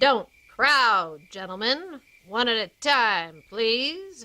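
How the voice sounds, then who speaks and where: A put-on character voice, female-sounding and fairly high-pitched for a woman, at a very slow pace in a very clean recording with a silent background. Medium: audio drama.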